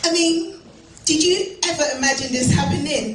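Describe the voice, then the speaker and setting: Music plays in the background while the speaker talks at a fairly slow pace. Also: woman. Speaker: spoken word poet. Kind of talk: spoken word performance. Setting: live venue.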